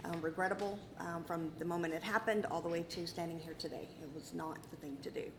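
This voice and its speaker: A woman with an American accent races along at a very fast pace with hardly any pauses, her pitch fairly low and her intonation fairly even, amid audible room echo and noticeable background noise. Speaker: prosecutor arguing appeal. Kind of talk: appellate oral argument. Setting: courtroom.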